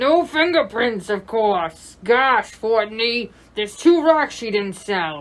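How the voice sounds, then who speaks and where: Putting on a character voice, a woman talks fairly slowly at a fairly high pitch, her pitch swinging very widely. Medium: audio drama. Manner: cynical, slangy.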